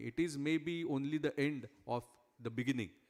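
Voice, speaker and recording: A man's fairly high voice in a Marathi accent, with ordinary pitch variation. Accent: Indian English, Marathi. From India, Maharashtra. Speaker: cost accountant, chief guest speaker. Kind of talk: speech at prize ceremony. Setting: large hall with audience. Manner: hesitant, frequent 'uh' and 'correct?'.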